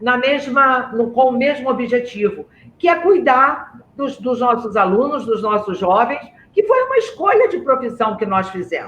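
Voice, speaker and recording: With lively intonation and an extremely high pitch, a man talks at a fairly slow pace. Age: 60s. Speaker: school director. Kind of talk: webinar moderation. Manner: halting.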